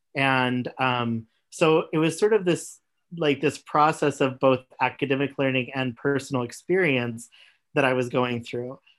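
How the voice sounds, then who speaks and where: A man speaks in an ordinary speaking voice with an American accent. His pitch is medium with ordinary pitch variation, and his pace is fairly slow. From US Midwest/South (Missouri and Oklahoma). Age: 30s. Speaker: gender doula and graduate student. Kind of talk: interview conversation.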